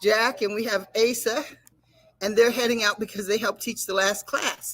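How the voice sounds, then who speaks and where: A woman with an American accent and a plain, everyday voice, fairly high-pitched, with fairly even intonation and a moderate pace. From United States. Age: 60s. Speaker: show anchor and karate master. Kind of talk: casual talk show chat.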